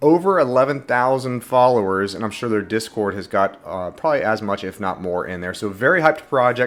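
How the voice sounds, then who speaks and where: Music plays in the background as a man speaks with ordinary pitch variation. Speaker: NFT and crypto YouTuber. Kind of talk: casual video commentary. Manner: fast; animated.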